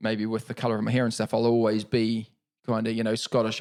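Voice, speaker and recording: A man speaks with a New Zealand accent at a medium pitch. His pace is fairly quick. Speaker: Paralympic cyclist. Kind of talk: podcast interview.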